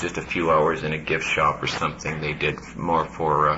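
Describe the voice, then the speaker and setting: Clear background noise and audible room echo around a man talking. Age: 40s. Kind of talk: panel discussion.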